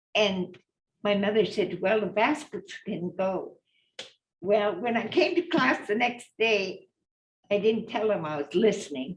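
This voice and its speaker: At a fairly slow pace, a woman with a medium pitch sounds somewhat breathy, her intonation lively. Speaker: basket weaver. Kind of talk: storytelling in a panel talk.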